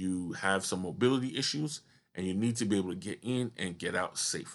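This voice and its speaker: Against a quiet background, a man talks at a fairly quick pace in a normal speaking voice with ordinary pitch variation. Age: 30s. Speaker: podcast host, wheelchair user. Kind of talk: solo podcast monologue.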